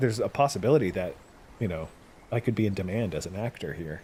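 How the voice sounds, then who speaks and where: A man races along at a very fast pace, his intonation lively. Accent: American. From Alaska, US (Palmer). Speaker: streamer. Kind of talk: casual chat. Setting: live stream with voice chat.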